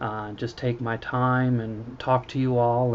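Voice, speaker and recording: A soft-spoken man's voice, medium in pitch. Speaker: poet and funeral director. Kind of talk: casual vlog monologue. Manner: halting, many fillers.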